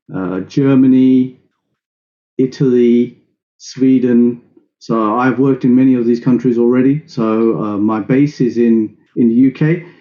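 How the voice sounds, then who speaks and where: A man with a non-native accent speaks at a medium pitch with fairly even intonation. His pace is fairly slow, with long, frequent pauses. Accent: non-native accent, self-described as funny. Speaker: IT security trainer. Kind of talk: webinar lecture. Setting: video call.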